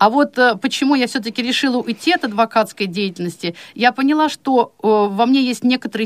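With lively intonation and a fairly high pitch, a woman talks at a moderate pace in a normal speaking voice, the sound dry and close with no echo. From Chuvashia, Russia. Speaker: blind law lecturer. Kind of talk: radio interview.

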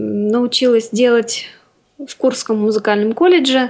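A woman's high voice, ordinary pitch variation, a very slow pace. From Orenburg region, Russia. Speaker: composer, student. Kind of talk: radio interview.

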